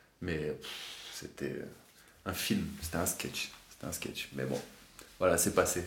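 A man talks very slowly, leaving long gaps again and again. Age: 30s. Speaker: amateur bodybuilder sharing doping experience. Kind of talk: testimony.

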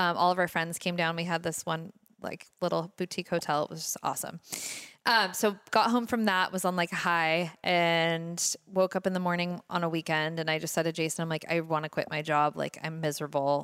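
A woman with an American accent and a normal speaking voice, fairly low in pitch, with fairly even intonation, in a very clean recording against a silent background. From Laguna Beach, California. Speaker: local shop owner. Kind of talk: casual interview chat.

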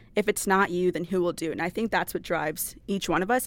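A woman speaks in an American accent with a plain, everyday voice. Her pitch is fairly low and her intonation fairly even. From Wisconsin. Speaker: student government president. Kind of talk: casual chat.

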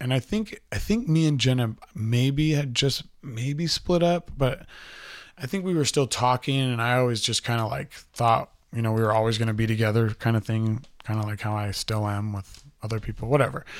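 At a moderate pace and medium pitch, this man uses a plain, everyday voice with ordinary pitch variation, heard on a very clean recording with a silent background. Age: 30s. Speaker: podcast host telling life story. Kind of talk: personal storytelling monologue. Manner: casual, rambling with many fillers.

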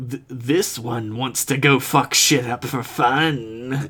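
In a put-on character voice, a man growls out a menacing, raspy line at a very slow pace and a medium pitch. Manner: creepy, menacing.

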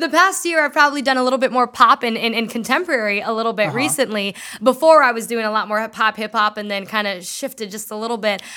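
Over noticeable background noise, the speaker rushes along at a very fast pace with hardly any pauses, in an animated tone with lively intonation. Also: woman, fairly high pitch for a woman. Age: 20s. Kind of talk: casual chat.

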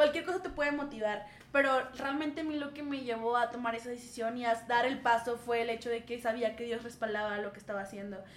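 Hardly pausing, a woman speaks at a fairly quick pace with a high pitch and ordinary pitch variation. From northern Mexico, Saltillo. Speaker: schoolteacher. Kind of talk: casual chat.

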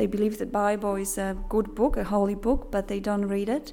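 A woman with a Polish accent speaks at a moderate pace, her intonation fairly even. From Poland. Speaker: missionary. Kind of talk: presentation.

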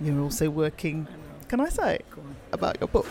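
A man with a Birmingham accent speaks at a fairly high pitch and a moderate pace. There is noticeable background noise. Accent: Birmingham (Brummie) English. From Birmingham, England. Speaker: podcast host. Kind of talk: interview. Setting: bar.

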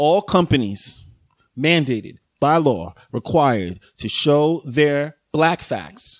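A man with an American accent, fairly high-pitched and very slow, with very wide pitch swings on a very clean recording with a silent background. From New York, the Bronx. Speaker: podcast guest. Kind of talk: casual chat. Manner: halting.

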